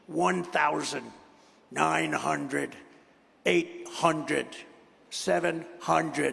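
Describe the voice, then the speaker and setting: A man's put-on, robotic character voice at medium pitch, very slow pace, with long, frequent pauses. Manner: robotic, official.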